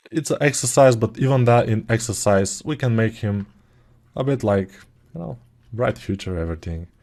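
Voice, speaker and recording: Against a quiet background, a man with a dark, mellow tone talks at a moderate pace. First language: not English. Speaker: sculpting tutor. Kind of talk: tutorial. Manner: casual, hesitant with fillers.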